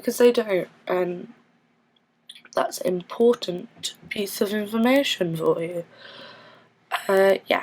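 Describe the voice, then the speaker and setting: Speaking very slowly with long, frequent pauses, a woman uses a fairly high pitch and lively intonation. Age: 20s. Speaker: vlogger. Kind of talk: personal vlog monologue. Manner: halting, with many fillers and restarts.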